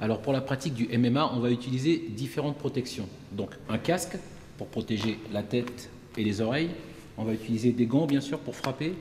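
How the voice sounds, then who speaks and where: A man speaks at a fairly quick pace and medium pitch with ordinary pitch variation. Noticeable background noise runs behind him. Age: 40s. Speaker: martial arts instructor. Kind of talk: tutorial.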